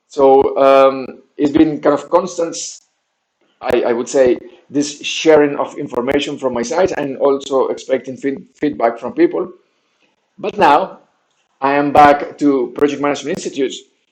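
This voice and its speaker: A man's fairly high voice in a Spanish accent, at a moderate pace with fairly even intonation. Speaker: game designer and training researcher running a crowdfunding campaign. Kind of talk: video update vlog. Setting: different recording setup while relocating. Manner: halting, many fillers and restarts.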